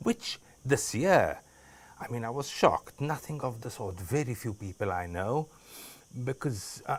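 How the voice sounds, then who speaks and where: A somewhat breathy man speaks at a medium pitch and a fairly slow pace, with lively intonation and long, frequent pauses, on a very clean recording with a silent background. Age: 70s. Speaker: interviewee. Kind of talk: casual interview. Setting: courtyard at his home.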